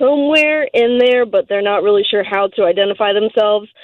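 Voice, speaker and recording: This woman has an ordinary speaking voice, pitched fairly high and showing ordinary pitch variation. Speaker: caller. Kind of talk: casual chat. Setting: phone call.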